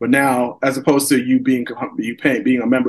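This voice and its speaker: The speaker has a normal speaking voice with fairly even intonation. The pace is moderate. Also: man. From New York, Long Island (Elmont). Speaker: entrepreneur. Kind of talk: casual chat.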